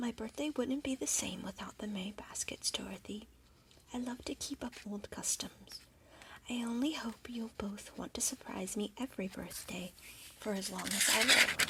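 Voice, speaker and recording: A soft-spoken voice at a moderate pace. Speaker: ASMR storyteller. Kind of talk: bedtime story reading.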